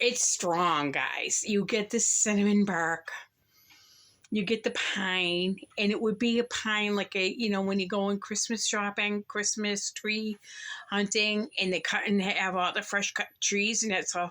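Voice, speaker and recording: In a normal speaking voice, a woman of medium pitch talks at a fairly slow pace with fairly even intonation and very even loudness. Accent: American. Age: 60s. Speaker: candle reviewer. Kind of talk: product haul review. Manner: casual, chatty.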